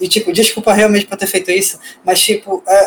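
A man's voice with a high pitch. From Brazil, Rio de Janeiro. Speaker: podcast host, poet and freelance designer. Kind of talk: casual chat. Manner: talks over pauses.

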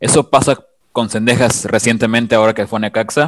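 Recorded dry and close with no echo, a man speaks at a moderate pace with a medium pitch in a normal speaking voice. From Mexico. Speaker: podcast co-host, fan. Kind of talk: casual podcast chat.

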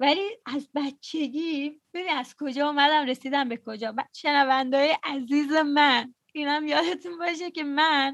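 Pitch rises and falls in an ordinary way while the delivery stays fairly slow. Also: woman, high pitch for a woman, hardly any pauses. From Iran. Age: 20s. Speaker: podcast host. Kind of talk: casual chat. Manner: talkative.

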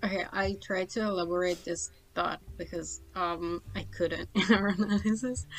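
The voice carries an Italian accent at a fairly slow pace. Its pitch varies in an ordinary way. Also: woman. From Italy. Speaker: podcast co-host. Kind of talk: casual chat. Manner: halting.

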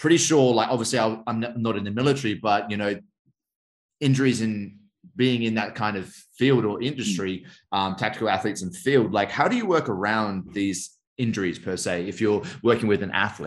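This man talks fairly quickly and fairly low in pitch, in an ordinary speaking voice. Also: ordinary pitch variation. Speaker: podcast host. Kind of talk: casual interview.

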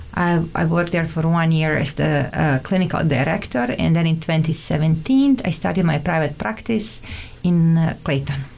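Through noticeable background noise, a woman with a Montenegrin accent speaks at a moderate pace in a very deep, low voice, with ordinary pitch variation and very even loudness. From Montenegro. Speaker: immigrant guest, therapist. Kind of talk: casual interview chat. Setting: studio.

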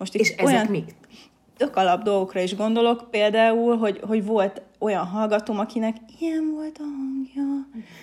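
At a moderate pace, a woman talks with an unremarkable speaking voice, a fairly high pitch and ordinary pitch variation. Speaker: university lecturer in teacher education. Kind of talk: casual interview.

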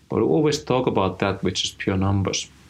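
Very fast speech with a Finnish accent. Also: man. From rural Finland. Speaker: head of design. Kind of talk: interview.

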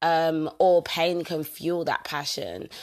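A woman with a fairly low pitch sounds energetic and animated in a very clean recording with a silent background. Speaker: personal growth podcaster. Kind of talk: motivational solo talk. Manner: energetic, animated.

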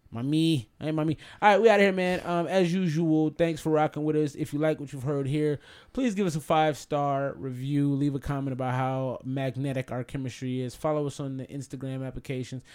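This man talks in a normal speaking voice, fairly high in pitch and fairly quick, with ordinary pitch variation. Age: 30s. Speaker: podcast host. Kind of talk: casual chat.

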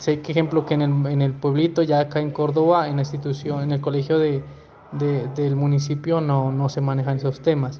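Amid noticeable background noise, a man talks at a fairly quick pace with a fairly high pitch and a monotone, flat intonation. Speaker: municipal culture coordinator. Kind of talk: interview answer. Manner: halting.

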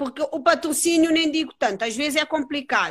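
Over a silent background on a very clean recording, a woman speaks in a bright, sharp tone. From Cape Verde. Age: 30s. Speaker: jiu-jitsu and beach wrestling athlete. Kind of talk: casual interview.

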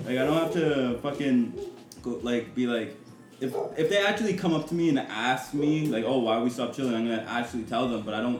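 This man talks at a medium pitch and a fairly quick pace. His intonation is lively over noticeable background noise. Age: 20s. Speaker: podcast host. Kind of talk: casual chat.

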